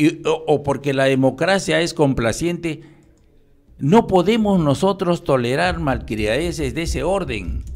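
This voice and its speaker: Over a quiet background, a man talks in a fairly high pitch with vocal fry. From Peru (provinces). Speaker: retired police general; interview guest. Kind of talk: radio interview. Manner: halting. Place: studio. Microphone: studio mic.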